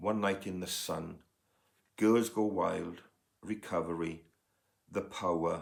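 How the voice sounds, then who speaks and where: Very slow, fairly even speech in a Welsh accent. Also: man. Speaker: music podcaster, vinyl collector, former music agent. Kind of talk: casual record collection review. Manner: hesitant, many fillers.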